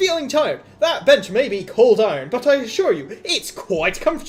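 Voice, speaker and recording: In a put-on character voice pitched high, the speaker moves at a moderate pace while faint music plays in the background. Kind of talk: salesman pitch.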